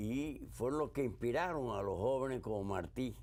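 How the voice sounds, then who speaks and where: A man's dark, mellow voice with vocal fry, lively intonation and a fairly slow pace, in audible room echo. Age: 80s+. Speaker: war veteran. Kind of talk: interview.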